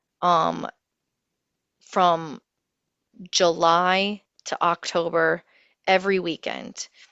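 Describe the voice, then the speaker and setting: In an American accent, a woman speaks at a fairly low pitch with monotone, flat intonation. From US Midwest, Ohio. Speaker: renaissance faire performer and business professional. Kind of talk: casual interview. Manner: hesitant, many fillers.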